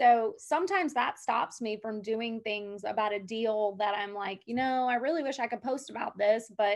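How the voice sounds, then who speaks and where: A woman with an American accent speaks at a moderate pace and a fairly high pitch over a quiet background. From Georgia. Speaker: real estate agent; podcast guest. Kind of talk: interview. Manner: loud; animated. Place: home room. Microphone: video call.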